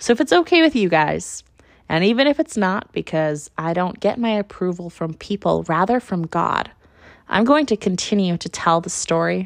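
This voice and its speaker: Recorded with a dry, close sound with no echo against a quiet background, a woman speaks with lively intonation. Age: 20s. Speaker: podcast host. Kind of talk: personal monologue.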